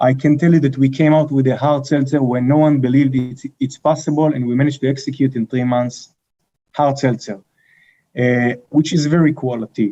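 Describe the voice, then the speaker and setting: With a strong Israeli accent, a man speaks at a fairly quick pace in a dark, mellow tone, his fairly high pitch following fairly even intonation. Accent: heavy Israeli. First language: Hebrew. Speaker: company co-founder and CEO. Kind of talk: interview. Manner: thoughtful.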